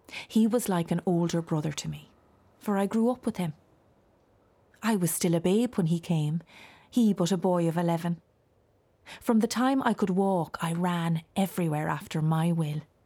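A woman with a fairly low pitch and a dark, mellow tone speaks with ordinary pitch variation and long, frequent pauses in a very clean recording with a silent background. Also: moderate pace. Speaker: voice actor playing a ghost. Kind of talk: dramatized audiobook monologue of a ghost recounting her family's tragedy. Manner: mournful, lamenting with heavy sighs; confiding, hushed and intimate.

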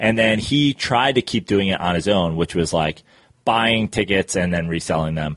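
In an American accent, a man with a very deep, low pitch talks at a moderate pace with ordinary pitch variation. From New York, Westchester County. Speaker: comedian. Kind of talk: casual chat.

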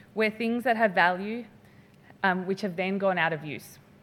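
Ordinary pitch variation from a woman with an Australian accent. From Western Australia (Perth). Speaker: finance researcher. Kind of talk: lecture.

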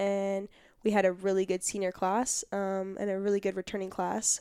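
A woman with an American accent speaks at a moderate pace in a dark, mellow tone with monotone, flat intonation. The sound is dry and close, with no echo. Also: very clean recording, silent background. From Southern California, Orange County. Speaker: college basketball player. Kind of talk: interview. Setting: studio.

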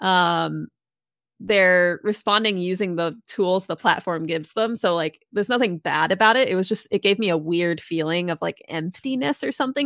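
A woman speaks at medium pitch and a moderate pace with an American accent. Her pitch varies in an ordinary way, and it is a normal speaking voice. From Massachusetts, US. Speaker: game developer and streamer. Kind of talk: casual interview.

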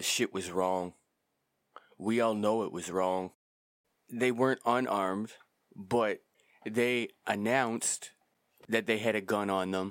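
Speaking at a fairly slow pace with long, frequent pauses, a man uses fairly even intonation at a fairly low pitch. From Canada. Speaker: podcast host. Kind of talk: opinion monologue.

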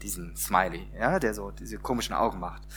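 A man at a moderate pace. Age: 40s. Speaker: pastor. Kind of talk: sermon. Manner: conversational, many filler words.

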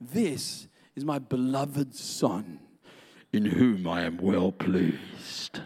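A man speaks very slowly in a put-on character voice. His pitch sits fairly low. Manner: loving, warm.

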